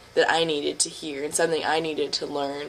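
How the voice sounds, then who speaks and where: A woman's very deep, low voice with monotone, flat intonation. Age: 20s. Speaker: creative writer. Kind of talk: casual talk to camera.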